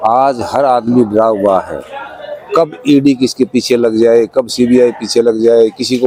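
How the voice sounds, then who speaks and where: Over crowd noise in the background, a man talks at medium pitch with fairly even intonation. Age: 60s. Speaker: social activist interviewee. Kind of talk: interview.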